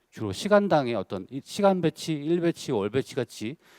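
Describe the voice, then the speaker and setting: A man's voice with very wide pitch swings, dry and close with no echo, in a very clean recording against a silent background. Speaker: senior solutions architect presenting at a tech conference. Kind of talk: conference presentation. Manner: fast.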